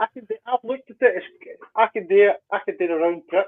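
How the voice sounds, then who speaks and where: At a fairly quick pace, a man speaks with a Scottish accent. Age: 60s. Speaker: biker. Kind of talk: casual chat. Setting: livestream.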